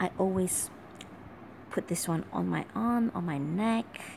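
Over noticeable background noise, a woman talks at a fairly slow pace with a fairly low pitch. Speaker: perfume reviewer. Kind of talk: casual talk to camera. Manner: whispered. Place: home room. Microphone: phone near.

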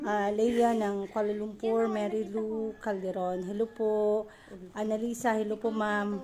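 A woman's very slow speech with fairly even intonation over noticeable background noise. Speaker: live streamer greeting viewers. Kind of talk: casual live stream chat. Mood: warm, grateful sign-off. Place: home room. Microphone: phone near.

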